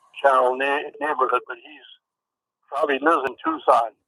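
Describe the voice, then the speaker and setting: A man's fairly high, bright, sharp voice at a moderate pace, monotone and flat in intonation, with a dry, close sound and no echo. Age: 70s. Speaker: caller. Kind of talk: casual chat. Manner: halting.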